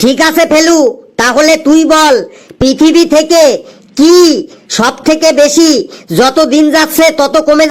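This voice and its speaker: A man in a cartoonish character voice, extremely high-pitched, at a fairly slow pace. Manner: bossy, playful.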